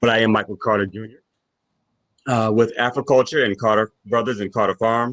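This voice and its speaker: A man's medium-pitched voice with an American accent at a fairly quick pace, dry and close with no echo. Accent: Caroline County twang. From Virginia, Caroline County. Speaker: farmer and agricultural educator. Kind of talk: public talk. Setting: virtual talk.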